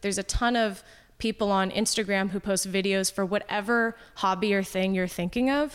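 A woman speaks in a normal speaking voice at medium pitch with fairly even intonation, and the recording is very clean with a silent background. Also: moderate pace, very even loudness. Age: 30s. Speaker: hobbyist skater and improv comedian. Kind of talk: casual chat.

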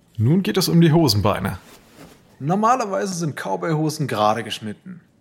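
The man's pitch is fairly high and moves in very wide swings. He talks at a moderate pace. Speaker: narrator. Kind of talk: dramatic narration, scripted storytelling with voiced dialogue. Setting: studio. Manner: vivid, suspenseful, steady storyteller pacing.

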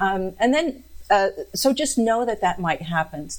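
Here is a woman with a plain, everyday voice. She talks at a fairly slow pace with lively intonation. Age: 50s. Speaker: ADHD coach and psychiatric nurse practitioner. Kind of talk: expert interview.

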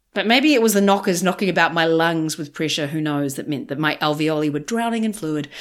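A woman with a New Zealand accent talks very fast with hardly any pauses, her fairly low pitch carrying lively intonation on a very clean recording with a silent background. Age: 40s. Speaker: podcast host and comedian. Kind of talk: casual confessional monologue. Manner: animated; humorous.

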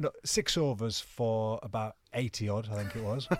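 On a very clean recording with a silent background, a man speaks at a medium pitch with a Cumbrian accent. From northern England, Cumbria (Penrith). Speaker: retired cricketer. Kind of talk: casual chat. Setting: studio. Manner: animated.

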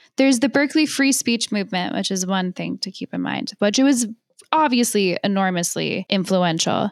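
In a plain, everyday voice, a woman speaks at a moderate pace and medium pitch with lively intonation, the sound dry and close with no echo. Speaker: columnist and podcast co-host. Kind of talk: casual chat.

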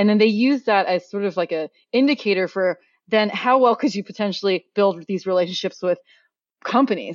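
A woman with an American accent talks fairly quickly at a medium pitch. Her pitch varies in an ordinary way. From US, Oregon. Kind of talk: interview. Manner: fast-paced.

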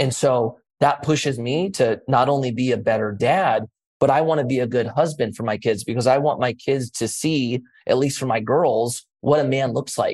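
Speaking in a normal speaking voice, a man keeps a moderate pace. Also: medium pitch for a man, ordinary pitch variation. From US, raised in same area he lives. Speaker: former pro skater, entrepreneur and city council member. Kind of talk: interview.

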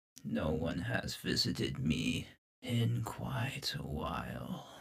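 Putting on a raspy character voice, a man speaks at a very slow pace with a very deep, low pitch and very wide pitch swings. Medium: actual play. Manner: terse, solemn, cryptic.

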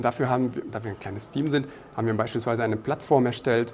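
Noticeable background noise surrounds the man as he talks. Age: 30s. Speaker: product manager. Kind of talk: interview. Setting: conference.

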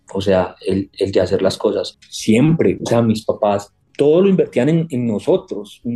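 A man with an Antioquian accent talks at a fairly slow pace. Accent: Colombian paisa Spanish. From Colombia, Antioquia (Medellín). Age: 30s. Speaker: HR executive. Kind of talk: interview conversation. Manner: halting, with frequent repetitions.

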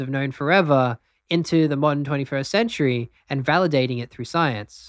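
A fairly high-pitched man's voice with an Australian accent at a moderate pace. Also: very clean recording, silent background. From Australia, Brisbane. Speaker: breathwork teacher. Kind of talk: interview; guided breathing exercise.

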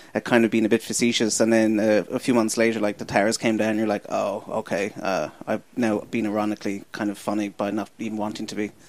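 A man's fairly low voice with an American accent, monotone and flat, at a very fast pace with hardly any pauses. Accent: Irish, slipping toward American. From Ireland. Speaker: comedian and podcast producer. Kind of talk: casual chat. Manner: fast talker.

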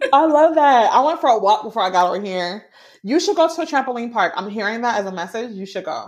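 With a quiet background, a woman talks very fast in an animated tone, her fairly high voice swinging very widely in pitch. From Jamaica. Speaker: business mentor and spiritual coach. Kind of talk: casual interview chat.

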